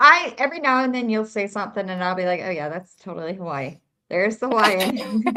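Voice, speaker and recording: A woman's medium-pitched, bright and sharp voice with very wide pitch swings at a very fast pace. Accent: slight Southern US. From South Carolina. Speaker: true crime streamer. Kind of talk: casual chat.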